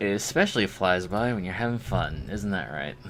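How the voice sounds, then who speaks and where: Against music in the background, a man with a fairly low pitch speaks at a moderate pace, his pitch swinging very widely. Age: 20s. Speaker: streamer making 3D models. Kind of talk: casual live stream chat. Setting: live stream at computer.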